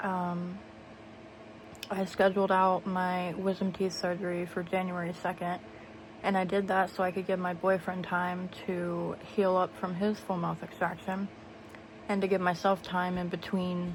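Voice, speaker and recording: A somewhat breathy woman's voice at medium pitch, monotone and flat in intonation. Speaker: vlogger. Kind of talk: casual vlog talk. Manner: hesitant, many fillers.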